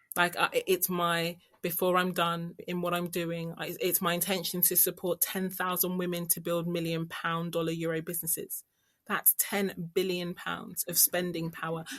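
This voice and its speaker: This woman has a fairly low pitch and a London accent. Her delivery is monotone and flat at a moderate pace. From London, England. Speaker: business strategist and financial coach. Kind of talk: podcast interview.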